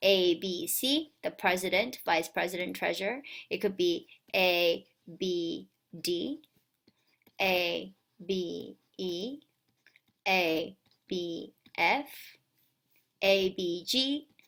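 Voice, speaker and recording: A woman mumbles at a very slow pace with a medium pitch, ordinary pitch variation, and long, frequent pauses. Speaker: math teacher. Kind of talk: recorded lesson for students. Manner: mumbling.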